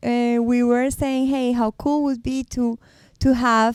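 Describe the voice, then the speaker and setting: In a very clean recording with a silent background, a woman speaks very slowly in a high, monotone, flat voice. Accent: Spanish. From Colombia. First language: Spanish. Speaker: podcast co-host. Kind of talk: casual chat.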